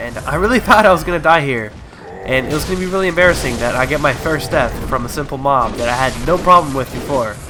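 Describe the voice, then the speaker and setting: With music in the background, a man speaks very fast using lively intonation. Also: fairly high pitch for a man. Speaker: gamer. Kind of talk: let's play commentary. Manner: casual.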